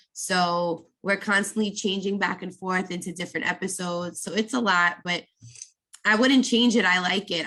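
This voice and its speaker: Speaking with an American accent, a woman of medium pitch uses a bright, sharp tone at a moderate pace with fairly even intonation. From New York, Brooklyn. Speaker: makeup artist. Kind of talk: podcast interview.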